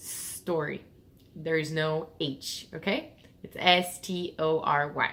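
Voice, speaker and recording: A woman speaks with a Portuguese accent. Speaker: English teacher. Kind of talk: tutorial. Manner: casual, with fillers and self-corrections.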